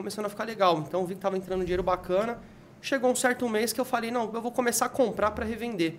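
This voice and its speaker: A man with a high voice talks at a very fast pace, using ordinary pitch variation. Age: 30s. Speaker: game collector and reseller. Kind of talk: casual chat.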